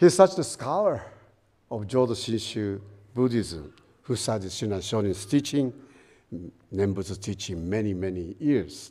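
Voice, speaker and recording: A man speaks with a Japanese accent in a fairly low pitch. His tone is dark and mellow, with long, frequent pauses. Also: lively intonation, moderate pace, very clean recording, silent background. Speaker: guest minister. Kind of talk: dharma talk. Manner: reading from prepared paper; halting with fillers.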